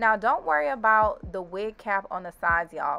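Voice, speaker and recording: A woman speaks at a moderate pace. Behind her, music plays. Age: 20s. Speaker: beauty YouTuber. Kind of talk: hair tutorial talk to camera. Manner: casual, chatty.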